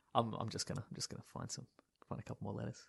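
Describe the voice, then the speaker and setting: A man's voice with vocal fry and an Australian accent. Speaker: podcast host. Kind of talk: casual chat. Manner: joking.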